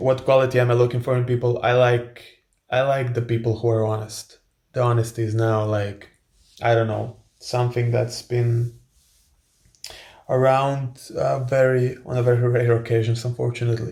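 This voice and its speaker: This man speaks at a moderate pace and medium pitch with a Croatian accent, his somewhat breathy delivery flat and monotone and broken by long, frequent pauses. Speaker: influencer and author. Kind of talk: casual Q&A monologue. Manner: hesitant with many fillers and repetitions.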